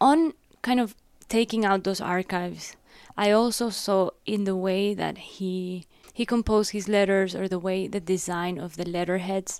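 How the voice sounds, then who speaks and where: A woman speaks at a medium pitch with ordinary pitch variation and a moderate pace. The recording is very clean, with a silent background. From Ecuador (Guayaquil). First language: Spanish. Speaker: art curator. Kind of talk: interview on stage. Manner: halting.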